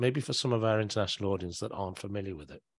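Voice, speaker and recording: In an ordinary speaking voice, a man with a fairly low pitch talks with lively intonation over a very clean, silent background. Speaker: podcast host. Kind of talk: interview conversation.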